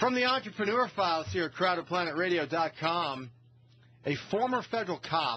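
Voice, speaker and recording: The delivery moves at a fairly quick pace with lively intonation. Loudness stays very even throughout. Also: man. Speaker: talk radio host. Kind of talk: casual talk radio banter and news commentary. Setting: radio studio. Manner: slightly slurred speech.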